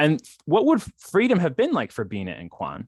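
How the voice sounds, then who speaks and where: Recorded with a dry, close sound and no echo, a man speaks in an American accent. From Philadelphia Main Line, Pennsylvania. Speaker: scholar in residence, local historian. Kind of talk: lecture. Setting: video call. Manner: fast; halting, many fillers and restarts.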